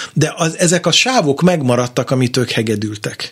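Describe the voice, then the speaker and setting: A man's somewhat breathy voice at a medium pitch. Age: 50s. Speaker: jazz guitarist and radio presenter. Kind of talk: interview. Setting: studio.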